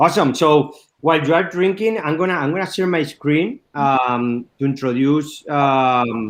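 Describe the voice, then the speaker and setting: A man with a Spanish accent speaks at a fairly slow pace, his pitch fairly high. His pitch varies in an ordinary way over a quiet background. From Spain, La Mancha. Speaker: wine export manager. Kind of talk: wine tasting presentation. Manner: halting, many fillers.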